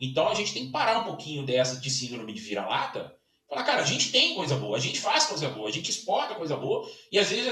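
The voice is raised and projected, racing at a very fast pace with very wide swings in pitch. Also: man. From Minas Gerais, Brazil (Belo Horizonte). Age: 40s. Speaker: sports consultant and event organizer. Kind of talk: casual interview. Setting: home office.

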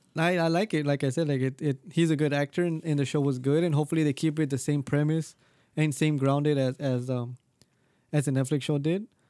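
This man has a fairly high pitch and a dark, mellow tone, talking at a fairly quick pace with fairly even intonation in a dry, close sound with no echo. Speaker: podcast co-host. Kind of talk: casual banter, comedic chat.

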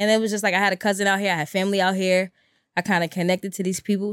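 Speaking at a very fast pace with a Brooklyn accent, a woman of medium pitch comes through a very clean recording with a silent background and a dry, close sound with no echo. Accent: New York (Brooklyn). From Brooklyn, New York (East New York). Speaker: vegan chef. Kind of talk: casual chat.

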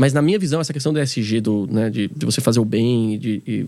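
A man talks at a very fast pace. His tone is dark and mellow, with lively intonation. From São Paulo periphery, Brazil. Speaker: tech company founder. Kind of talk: casual interview chat.

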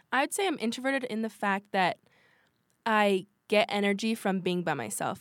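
With an American accent, a woman of medium pitch talks at a moderate pace with ordinary pitch variation, recorded dry and close with no echo, very clean, against a silent background. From Washington State. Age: young. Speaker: podcast co-host, college student. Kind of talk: casual chat.

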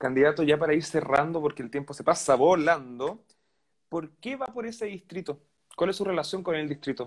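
A man speaks in a Chilean accent at a fairly high pitch. His intonation is lively. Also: moderate pace. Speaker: interviewer. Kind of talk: interview.

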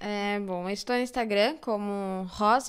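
Speaking at a fairly slow pace, a woman uses a medium pitch. Her pitch variation is ordinary. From São Paulo, Zona Sul (Campo Limpo). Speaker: actress and social educator. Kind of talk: podcast interview.

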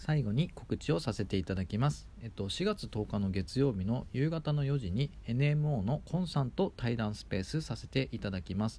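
A man's somewhat breathy voice at medium pitch, dark and mellow in tone, with lively intonation. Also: moderate pace. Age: 30s. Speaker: podcast host, startup member. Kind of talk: solo podcast talk. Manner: many fillers.

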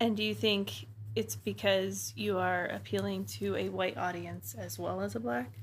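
A woman talks in a very deep, low, somewhat breathy voice. She keeps a moderate pace with lively intonation. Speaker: podcast host.

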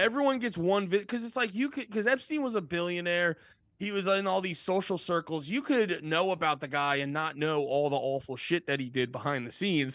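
Against a quiet background, a man with a high pitch talks at a fairly quick pace with very wide pitch swings and hardly any pauses. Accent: American. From eastern Pennsylvania, near Allentown. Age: 30s. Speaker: comedian and music podcast host. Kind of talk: casual chat.

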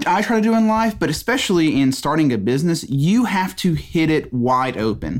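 A man with a Southern US accent uses very wide pitch swings on a very clean recording with a silent background. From Mississippi. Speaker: business owner, podcast host. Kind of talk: solo podcast monologue. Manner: halting, many fillers and repeats.

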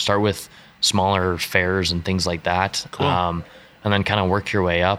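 A man with a western Canadian accent speaks in a very deep, low, flat monotone. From western Canada (British Columbia, Alberta). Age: young. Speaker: street artist and clothing designer. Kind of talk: casual interview chat.

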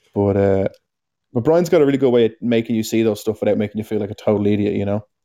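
In an Irish accent, a man talks very fast in a fairly low pitch, his tone dark and mellow, with ordinary pitch variation and a dry, close sound that has no echo. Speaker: climbing podcast co-host. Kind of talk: casual chat.

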